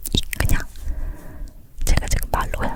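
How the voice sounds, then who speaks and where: Someone whispers over noticeable background noise. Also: woman. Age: 30s. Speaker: ASMR creator and mother. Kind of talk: whispered ASMR chat, telling a personal birth story. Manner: whispering, soft, talkative.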